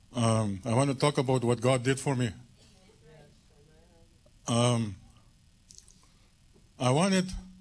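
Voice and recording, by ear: Speaking slowly, a man with a medium pitch leaves long, frequent pauses.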